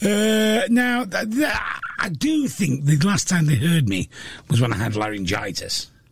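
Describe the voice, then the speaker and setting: Speaking in a Yorkshire accent, a man talks fairly slowly at a high pitch with very wide pitch swings, over noticeable background noise. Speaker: radio host and comedian. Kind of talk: casual chat. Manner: talkative.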